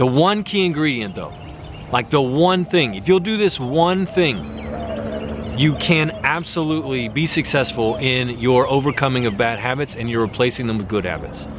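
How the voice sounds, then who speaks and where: With very wide pitch swings around a medium pitch, a man speaks over noticeable background noise. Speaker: self-improvement YouTuber. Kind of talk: motivational talk to camera. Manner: fast; energetic.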